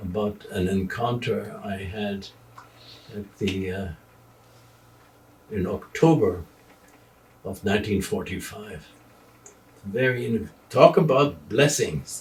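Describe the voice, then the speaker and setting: A man with a German accent speaks at a very slow pace. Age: 80s. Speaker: retired journalist. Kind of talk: interview. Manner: halting.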